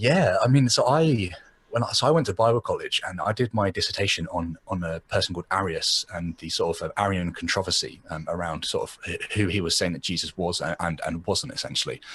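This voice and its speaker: A man speaks with an English accent at a fairly quick pace. He leaves hardly any pauses. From England. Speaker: podcaster and blogger. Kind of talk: casual chat.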